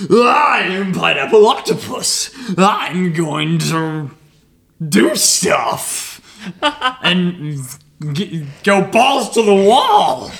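Using a put-on character voice at a middle pitch, the speaker goes at a very slow pace with long, frequent pauses. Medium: actual play. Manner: menacing, gloating.

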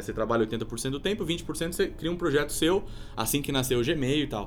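This is an unremarkable speaking voice from a man. He speaks at a fairly high pitch and a fairly quick pace. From Brazil, Sorocaba (São Paulo state). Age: 30s. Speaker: entrepreneur. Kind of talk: casual interview.

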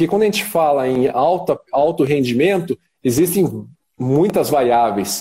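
At a moderate pace, a man speaks with lively intonation, a dark, mellow tone and vocal fry. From Curitiba, southern Brazil. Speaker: sports dentist. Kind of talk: live-stream interview.

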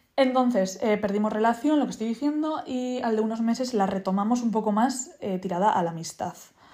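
With lively intonation and a fairly high pitch, a woman speaks at a moderate pace. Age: 20s. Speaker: podcaster. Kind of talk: casual monologue.

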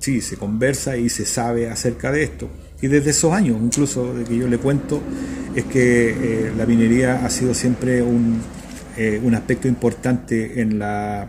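With noticeable background noise, a man talks at a fairly slow pace. His medium pitch holds fairly even intonation. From central Chile (Talca). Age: 60s. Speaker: university rector. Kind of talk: radio interview. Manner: halting, many fillers and repetitions.

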